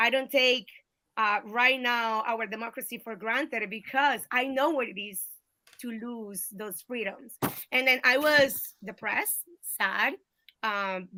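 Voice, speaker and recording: Speaking at a fairly slow pace with a Colombian accent, a woman has a fairly high pitch, a bright, sharp tone and ordinary pitch variation. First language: Spanish. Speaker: political candidate. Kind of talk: interview. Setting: video call.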